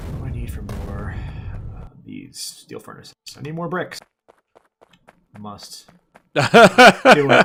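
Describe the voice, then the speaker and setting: Over music in the background, a man talks at a very slow pace with long, frequent pauses and big swings in loudness. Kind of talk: casual gameplay commentary.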